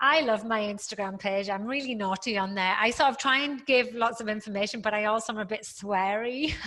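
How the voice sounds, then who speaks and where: A fairly high-pitched woman with a British accent, at a fairly quick pace with hardly any pauses and ordinary pitch variation. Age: 50s. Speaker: fitness professional and author. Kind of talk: interview chat.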